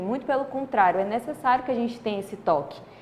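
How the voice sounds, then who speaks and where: A woman talks over noticeable background noise. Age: 20s. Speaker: interviewer. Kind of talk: interview.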